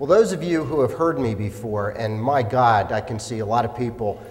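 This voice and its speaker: Amid noticeable background noise and audible room echo, a man talks at a medium pitch with ordinary pitch variation. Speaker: labor law attorney. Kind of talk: lecture.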